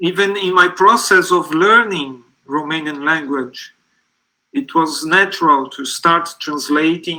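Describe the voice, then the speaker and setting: With a bright, sharp tone, a man speaks at a very slow pace. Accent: Portuguese. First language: Portuguese. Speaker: literary translator. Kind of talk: live panel talk.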